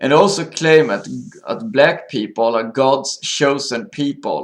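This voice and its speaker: The speaker talks with a Swedish accent. The intonation is lively. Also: man. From Sweden. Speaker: video blogger. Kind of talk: monologue commentary. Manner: halting.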